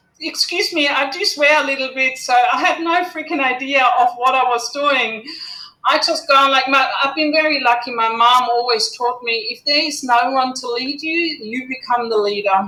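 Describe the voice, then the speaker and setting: The voice is raised and projected, with ordinary pitch variation at a moderate pace. Noticeable background noise can be heard. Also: woman, high pitch for a woman. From Germany. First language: German. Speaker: gear company founder, motorcyclist. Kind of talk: talk to online community.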